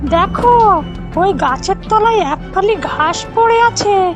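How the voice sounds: A woman uses a cartoonish character voice at an extremely high pitch, with lively intonation and a slow pace. Clear music plays in the background.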